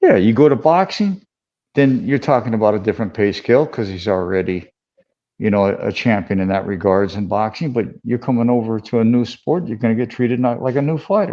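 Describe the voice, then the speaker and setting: A man with an ordinary speaking voice, medium pitch, lively intonation and a fairly quick pace. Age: 60s. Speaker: combat sports manager and former boxer. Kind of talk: casual chat.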